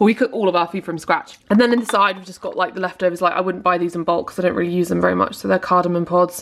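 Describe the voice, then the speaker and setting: A woman speaks very fast with a British accent, medium pitch and hardly any pauses. Her tone is upbeat and her loudness swings widely. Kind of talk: casual vlog talk to camera. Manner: chatty, upbeat.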